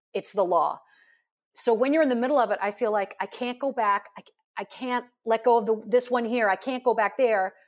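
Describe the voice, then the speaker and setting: A woman speaks with an unremarkable speaking voice at fairly high pitch. Her pace is fairly quick, with ordinary pitch variation. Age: 50s. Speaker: life coach. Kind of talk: interview.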